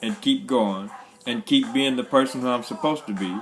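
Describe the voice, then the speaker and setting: Music plays in the background. A man at a medium pitch talks at a moderate pace. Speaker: motivational speaker. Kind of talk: motivational livestream talk. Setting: live video stream. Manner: animated.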